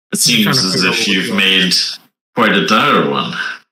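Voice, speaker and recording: A man uses a put-on character voice with a very deep, low pitch, speaking at a fairly slow pace. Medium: actual play. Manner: measured, guarded.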